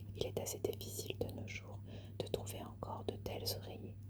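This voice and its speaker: Soft-spoken whispering in a calm tone at a moderate pace, with noticeable background noise. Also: woman. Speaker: ASMR content creator. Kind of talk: literary reading of ghost tales. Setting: ASMR video, close-mic recording. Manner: whispered, soft, calm.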